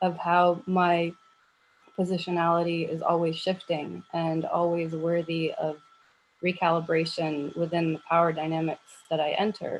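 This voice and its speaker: With an American accent, a woman speaks at a moderate pace in a fairly low pitch, her intonation monotone and flat. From United States. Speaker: academic researcher, conference panelist. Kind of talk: academic panel discussion. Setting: video call. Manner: halting, many fillers.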